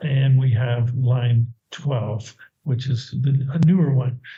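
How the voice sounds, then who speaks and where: Somewhat breathy, a man speaks with an American accent. His pitch is fairly high. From United States. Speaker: university department head. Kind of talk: presentation. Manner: casual, with self-corrections.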